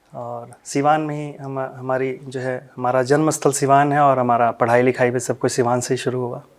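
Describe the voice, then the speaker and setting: A man's medium-pitched, monotone, flat delivery in a Bihari accent, with hardly any pauses. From Siwan, Bihar, India. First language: Bhojpuri (speaking Hindi). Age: young. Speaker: Bhojpuri ghazal singer. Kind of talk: interview.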